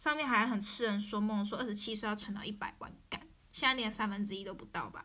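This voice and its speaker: A woman with a Taiwanese accent talks at a very fast pace with fairly even intonation. Her fairly high pitch has a bright, sharp tone. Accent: Taiwanese Mandarin. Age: 20s. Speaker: podcaster. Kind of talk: personal monologue.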